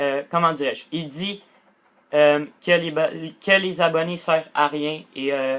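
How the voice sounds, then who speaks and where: Speaking very slowly, a man uses a fairly high voice. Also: fairly even intonation. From Quebec, Portuguese heritage. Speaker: gaming youtuber. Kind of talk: casual vlog monologue. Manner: halting, many fillers.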